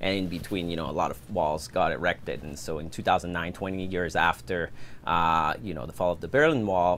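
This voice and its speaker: At a fairly quick pace, a man with very deep, low pitch talks with ordinary pitch variation. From France, Paris suburbs. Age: 30s. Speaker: filmmaker and production company owner. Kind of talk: podcast interview.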